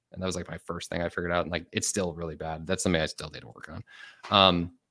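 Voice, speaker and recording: Very fast and in an American accent, a man talks with a very deep, low pitch. His delivery is flat and monotone, and the sound is dry and close with no echo. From US Midwest, Chicago. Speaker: productivity content creator. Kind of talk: podcast interview. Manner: casual, filler-heavy.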